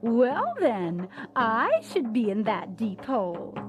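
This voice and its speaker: A man's put-on character voice, high in pitch and fairly slow, with clear music in the background. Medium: read story.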